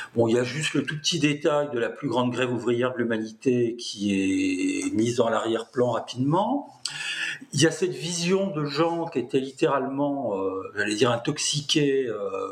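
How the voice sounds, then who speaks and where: Speaking at a fairly slow pace, a man with a medium pitch is heard over noticeable background noise. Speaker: political science professor. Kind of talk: interview. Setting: video call. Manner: talkative.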